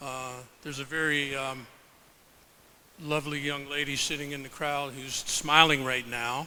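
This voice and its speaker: Loud and bright with a sharp tone, a man speaks at a fairly high pitch and a moderate pace in a monotone, flat intonation, with long, frequent pauses and audible room echo. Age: 70s. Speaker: professor and health researcher. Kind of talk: presentation to a live audience. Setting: stage with audience.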